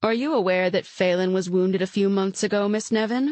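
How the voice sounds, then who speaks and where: Using a put-on character voice, a woman talks at a fairly quick pace with a medium pitch and very even loudness. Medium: read story. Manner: smooth, coercive.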